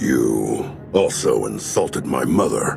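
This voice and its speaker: Clear music plays in the background. A man uses a put-on character voice at a fairly slow pace. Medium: machinima. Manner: smug, businesslike.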